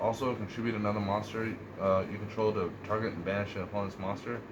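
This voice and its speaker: Amid noticeable background noise and audible room echo, a man with a fairly low pitch speaks very fast in a monotone, flat intonation. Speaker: card game youtuber. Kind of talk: tutorial.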